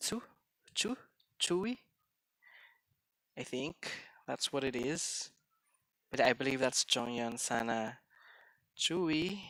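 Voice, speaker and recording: The speech goes at a very slow pace, with long, frequent pauses. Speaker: streamer. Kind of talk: live game stream chat. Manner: halting.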